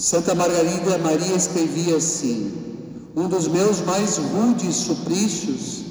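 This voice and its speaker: A man's high-pitched, solemn voice at a very slow pace, with noticeable background noise. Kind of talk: sermon. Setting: church. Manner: formal, solemn, measured pastoral delivery.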